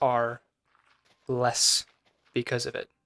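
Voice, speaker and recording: Music plays in the background as a man talks, with a dry, close sound and no echo. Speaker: vlogger. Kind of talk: personal reflection monologue. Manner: halting.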